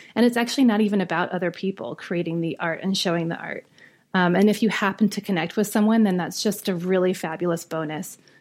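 A woman at a medium pitch and a very fast pace, on a very clean recording with a silent background. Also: ordinary pitch variation. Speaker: visual artist and art professor. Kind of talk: casual interview chat.

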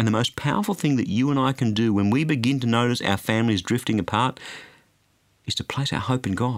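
The recording is very clean, with a silent background. A man speaks at a medium pitch and a fairly quick pace. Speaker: radio preacher. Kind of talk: sermon.

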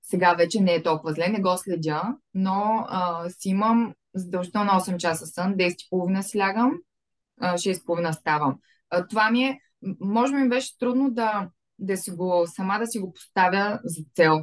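A woman with a normal speaking voice talks at a fairly slow pace and a medium pitch. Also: ordinary pitch variation. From Bulgaria, Varna. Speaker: fashion business owner. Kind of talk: interview.

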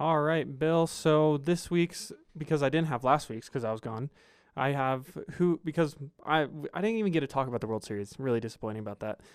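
A man with a plain, everyday voice talks at a fairly quick pace, his fairly high pitch carried by lively intonation. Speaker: sports podcast co-host. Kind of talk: casual chat.

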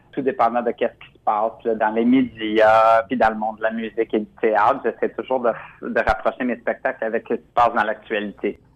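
A man's medium-pitched, monotone, flat delivery at a moderate pace, with hardly any pauses and big swings in loudness. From Quebec. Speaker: drag queen performer. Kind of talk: radio interview.

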